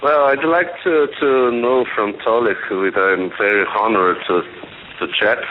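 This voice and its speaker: Against noticeable background noise, a man with a medium pitch talks at a fairly slow pace with lively intonation and very even loudness. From Brazil. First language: Portuguese. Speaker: caller. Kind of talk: call-in question. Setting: phone call.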